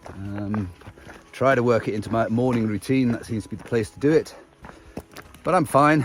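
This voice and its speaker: A man with an English accent speaks at medium pitch and a moderate pace, using ordinary pitch variation and long, frequent pauses. His tone is relaxed, and noticeable background noise is present. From England. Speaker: long-distance hiker vlogger. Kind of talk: casual video diary. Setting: outdoors on a hiking trail. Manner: relaxed, with frequent filler words.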